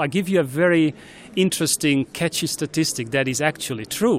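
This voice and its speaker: The speaker talks with a Hungarian accent. The pitch varies in an ordinary way. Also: man. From Hungary. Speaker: Olympic bid executive. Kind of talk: interview.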